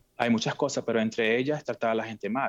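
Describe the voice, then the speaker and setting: A man speaks in an ordinary speaking voice at medium pitch and a fairly quick pace. His intonation is fairly even, with a quiet background and a dry, close sound with no echo. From Venezuela. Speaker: fashion event producer. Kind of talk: interview.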